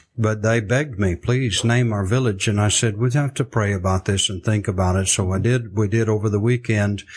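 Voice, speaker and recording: A man's fairly low, somewhat breathy voice with a Southern US accent, fairly quick with hardly any pauses and fairly even intonation, against a quiet background. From US South, South Arkansas. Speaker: missionary. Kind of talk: interview storytelling.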